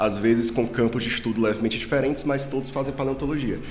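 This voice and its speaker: The speaker talks at a very fast pace in a Ceará accent, with fairly even intonation. Noticeable background noise and audible room echo fill the recording. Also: man. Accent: Northeastern Brazilian (cearense). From Brazil, Ceará (Northeast). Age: 30s. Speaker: paleontologist, professor. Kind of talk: casual interview.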